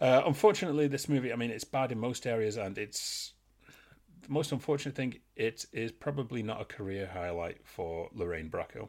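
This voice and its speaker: Over a very clean recording with a silent background, a man with a plain, everyday voice at a medium pitch speaks at a fairly quick pace. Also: lively intonation. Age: 40s. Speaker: podcast co-host. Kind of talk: casual chat.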